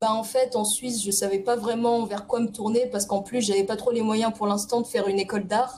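Over noticeable background noise, a woman talks fairly quickly in a fairly high pitch with a monotone, flat intonation. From Paris region (Essonne). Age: 20s. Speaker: illustrator. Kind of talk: casual interview.

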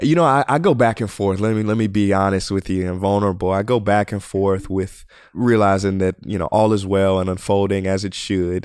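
A man speaks in a normal speaking voice at a fairly low pitch. He goes at a fairly quick pace with fairly even intonation and hardly any pauses. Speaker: podcast host. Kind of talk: casual interview chat. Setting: remote video call.

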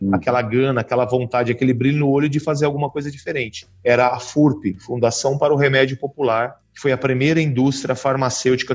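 A man speaks in a somewhat breathy voice, fairly quickly and with fairly even intonation. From Brazil, São Paulo. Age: 40s. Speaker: pharmacist and company CEO. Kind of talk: interview.

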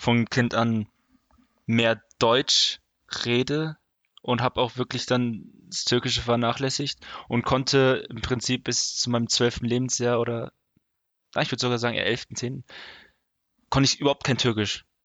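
A man's flat, monotone delivery with long, frequent pauses. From Germany, Osthessen (Fulda). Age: 20s. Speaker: podcast host. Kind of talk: casual chat.

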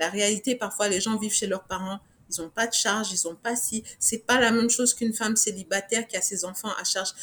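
This woman has an unremarkable speaking voice and talks at a fairly quick pace. Her intonation is fairly even. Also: fairly high pitch for a woman. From Niger. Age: 40s. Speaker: fashion designer and business owner. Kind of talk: interview.

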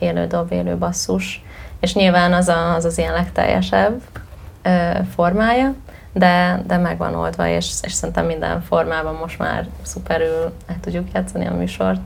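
There is audible room echo and noticeable background noise as a woman speaks at a fairly slow pace. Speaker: musician. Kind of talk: interview. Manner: talkative.

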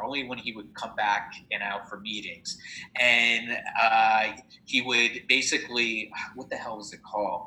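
In an American accent, a man talks at a moderate pace and a medium pitch. There is noticeable background noise. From New Jersey. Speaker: entrepreneur and business adviser. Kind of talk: casual interview.

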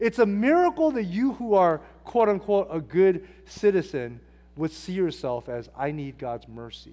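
With an American accent, a man speaks in a high voice, his pitch swinging very widely and his loudness shifting in big swings. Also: moderate pace. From Southern California, Hacienda Heights. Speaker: pastor. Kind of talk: sermon; prayer. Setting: church.

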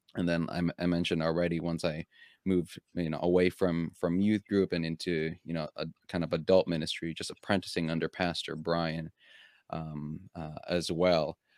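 The man's very deep, low voice stays flat and monotone in a dry, close recording with no echo. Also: moderate pace. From Philippines. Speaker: associate pastor. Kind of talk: casual interview. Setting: video call.

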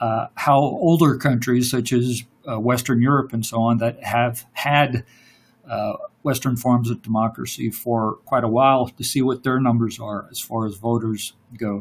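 A man's voice is somewhat breathy, at a medium pitch. He talks fairly slowly with fairly even intonation. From Louisiana. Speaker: podcast guest. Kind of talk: casual political discussion. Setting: remote online call, mic problems. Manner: halting, many fillers.

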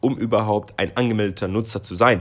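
Music plays behind a man who speaks very fast. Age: 20s. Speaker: marketing podcast co-host, agency employee. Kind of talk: scripted podcast discussion.

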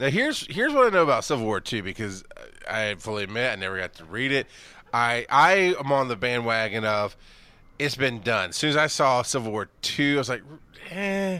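In a very clean recording with a silent background, a man with a Southern US accent talks fairly quickly at medium pitch, with lively intonation and a bright, sharp tone. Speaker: podcast host. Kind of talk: casual chat.

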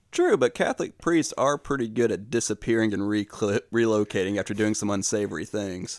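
On a very clean recording with a silent background and a dry, close sound with no echo, a man with a normal speaking voice talks at a fairly low pitch and a fairly quick pace, with ordinary pitch variation and hardly any pauses. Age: 30s. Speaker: podcast host. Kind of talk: casual chat.

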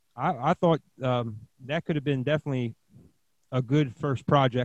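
A man with an American accent, a normal speaking voice and a moderate pace, in a dry, close sound with no echo. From Pennsylvania. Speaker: podcast host, DJ. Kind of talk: casual interview.

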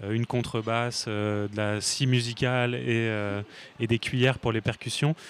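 Speaking very slowly, this man delivers his words with a flat, monotone intonation. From Paris region, France. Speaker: singer and songwriter. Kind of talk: casual interview. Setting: café.

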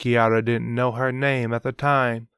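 The pitch holds fairly even intonation. An unforced reading voice carries the text.

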